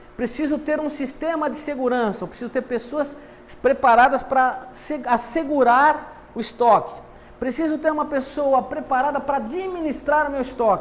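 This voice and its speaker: A man with an extremely high pitch, fairly even intonation and a moderate pace, set against noticeable background noise and audible room echo. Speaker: university lecturer. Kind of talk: lecture.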